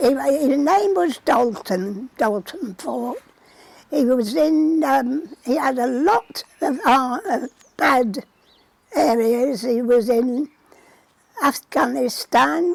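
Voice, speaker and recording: In a Lancashire accent, a woman speaks very slowly at a high pitch with lively intonation. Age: 80s+. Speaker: centenarian poppy knitter. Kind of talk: interview. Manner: halting.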